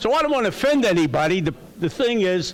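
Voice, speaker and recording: A man's pitch swings very widely while noticeable background noise carries on behind him. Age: 80s+. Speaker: public commenter, retired school board member. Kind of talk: public comment at board meeting. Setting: council chambers with audience. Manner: halting, with stammers.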